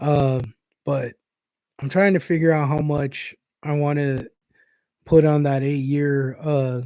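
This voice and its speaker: Fairly high in pitch yet dark and mellow in tone, a man with an American accent speaks at a fairly slow pace with fairly even intonation. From Inland Empire, Southern California. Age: 40s. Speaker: crypto livestreamer. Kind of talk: casual livestream chat. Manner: casual, rambling with fillers.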